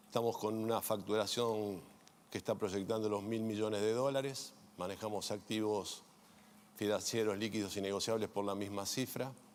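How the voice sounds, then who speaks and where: A man speaks at a moderate pace in a fairly low, flat monotone. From Argentina. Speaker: insurance executive. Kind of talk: panel self-introduction.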